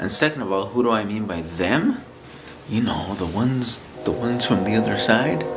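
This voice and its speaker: With music playing in the background and audible room echo, a man talks at a moderate pace in a fairly low pitch with ordinary pitch variation. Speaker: YouTuber vlogger. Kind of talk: casual vlog monologue. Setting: at home at night, to camera. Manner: halting, repetitive.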